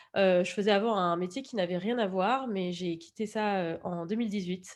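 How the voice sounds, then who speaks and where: A woman talks at a fairly quick pace against a quiet background. Her pitch is medium, with ordinary variation. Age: 30s. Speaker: podcast documentary maker. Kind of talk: interview. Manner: hesitant, many fillers.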